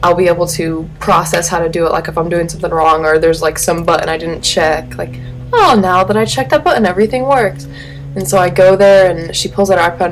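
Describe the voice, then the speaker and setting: Over music in the background, a woman mumbles at a very fast pace with a fairly low pitch and ordinary pitch variation. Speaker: vlogger. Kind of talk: casual vlog monologue. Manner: mumbling; animated.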